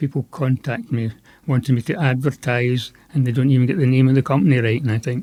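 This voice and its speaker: Talking at a very fast pace in a Scottish accent, a man at a medium pitch shows ordinary pitch variation. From west Scotland, Ayrshire. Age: 70s. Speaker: veterinarian and pet food company founder. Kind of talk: podcast interview.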